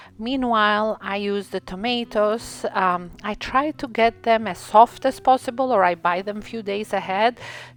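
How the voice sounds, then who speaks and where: A woman with an Albanian accent talks at a fairly slow pace against a quiet background. She takes hardly any pauses. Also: fairly high pitch for a woman, ordinary pitch variation. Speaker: cooking channel host. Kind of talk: cooking tutorial. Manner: hesitant, many fillers.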